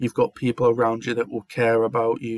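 The voice is monotone with flat intonation, recorded dry with no echo against a quiet background. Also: man. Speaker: vlogger. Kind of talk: casual talk to camera. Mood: heartfelt, sincere, supportive. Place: home room. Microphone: webcam.

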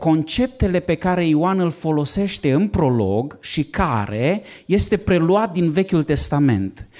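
A man speaks at a very slow pace with very wide pitch swings. The background is quiet. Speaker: pastor. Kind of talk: lecture. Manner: moves around while speaking. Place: classroom. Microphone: handheld.

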